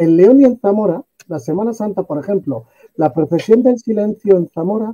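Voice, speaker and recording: A man talks at a moderate pace in a high voice with a dark, mellow tone and lively intonation. The sound is dry and close, with no echo. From northern Spain. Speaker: talk show panelist. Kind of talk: casual chat.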